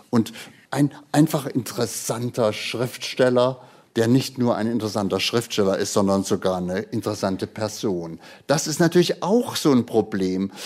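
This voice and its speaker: Intonation is lively while the delivery holds a moderate pace. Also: man, medium pitch for a man. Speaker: poet and retired radio literature editor. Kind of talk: interview; poetry reading. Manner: free-flowing, unscripted.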